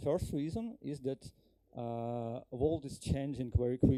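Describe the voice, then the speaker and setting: In a Ukrainian accent, a man speaks at a very slow pace with a dark, mellow tone and big swings in loudness. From Ukraine. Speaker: software engineer, conference speaker. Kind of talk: conference talk. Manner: halting, many fillers.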